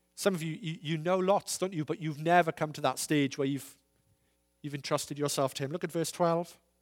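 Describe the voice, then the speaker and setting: A man speaks at a fairly quick clip in a plain, everyday voice, his pitch fairly high for a man. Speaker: visiting preacher. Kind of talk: sermon. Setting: church with congregation.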